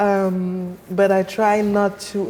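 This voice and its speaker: The speaker has a French accent and a monotone, flat intonation. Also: woman. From Cameroon, Yaoundé. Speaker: sound artist. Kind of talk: interview conversation.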